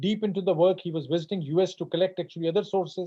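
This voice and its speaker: With a Punjabi accent, a man speaks in a high pitch with fairly even intonation. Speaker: professor. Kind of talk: Q&A answer after a lecture. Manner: halting, many fillers.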